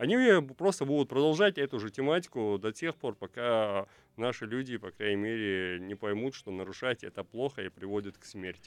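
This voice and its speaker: A man with an ordinary speaking voice, medium pitch, ordinary pitch variation and a moderate pace. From Chechnya. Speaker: blogger, civic activist. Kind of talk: radio talk show discussion. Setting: radio studio.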